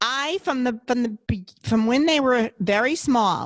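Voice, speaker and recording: In a dry, close sound with no echo, a woman with an ordinary speaking voice talks fairly slowly at a fairly high pitch, her intonation lively. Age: 60s. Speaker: podcast guest, mother. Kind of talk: casual chat.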